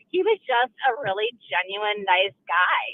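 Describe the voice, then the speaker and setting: A woman with an Upper Midwest accent speaks at a fairly high pitch. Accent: Upper Midwest American. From Milwaukee area, Wisconsin. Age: 50s. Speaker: caller. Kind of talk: call-in radio.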